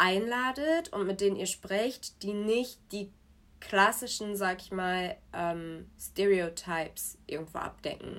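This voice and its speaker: A very slow pace from a woman with a medium pitch. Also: very clean recording, silent background. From Germany (born in Nigeria, moved at 4-5). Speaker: podcast guest. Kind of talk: casual chat. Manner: code-switching German and English.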